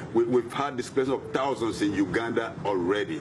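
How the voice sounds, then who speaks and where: Noticeable noise sits behind a man speaking at a fairly quick pace. His pitch is medium, with ordinary variation. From Nigeria, Niger Delta. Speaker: environmental activist. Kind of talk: interview.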